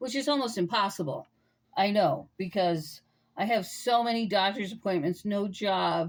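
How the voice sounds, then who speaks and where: At a moderate pace, a woman speaks with ordinary pitch variation. The recording is very clean, with a silent background. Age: 60s. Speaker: tarot reader. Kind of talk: tarot reading. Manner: casual, hesitant with many fillers.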